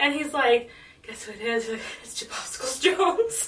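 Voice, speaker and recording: In a put-on character voice, a high, breathy, female-sounding voice speaks at a moderate pace. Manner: creepy.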